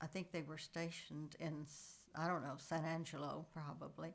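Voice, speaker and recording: A woman's fairly low voice in a Texan accent, at a fairly slow pace. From Texas, Coleman area. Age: 80s+. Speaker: family elder sharing memories. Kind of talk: oral history interview. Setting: at a relative's house. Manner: halting, many fillers.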